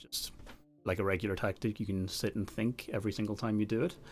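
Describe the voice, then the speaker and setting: Music plays behind a man who talks at a very fast pace with a fairly low pitch. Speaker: chess software presenter. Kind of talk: livestream product demo. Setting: livestream.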